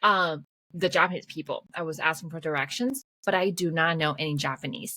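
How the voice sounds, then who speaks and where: Fairly low pitch from a woman in a Mandarin accent, bright and sharp in tone, at a fairly quick pace with ordinary pitch variation. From Taiwan. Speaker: podcast host. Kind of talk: casual chat. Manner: fast.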